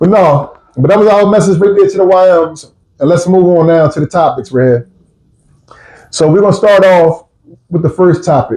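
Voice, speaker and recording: A man speaks in a high pitch with a dark, mellow tone and ordinary pitch variation. He takes long, frequent pauses. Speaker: podcast host. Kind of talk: casual chat. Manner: fast.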